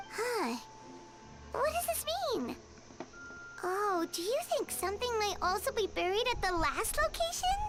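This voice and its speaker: An extremely high-pitched put-on character voice comes through loud background noise, broken by long, frequent pauses. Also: moderate pace. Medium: video game. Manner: chatty, eager.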